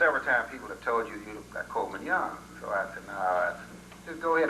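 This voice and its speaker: A man speaks over noticeable background noise. Audible room echo surrounds his voice. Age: 60s. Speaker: retired singer speaking at a homecoming. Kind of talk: storytelling to a gathering. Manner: conversational, many fillers.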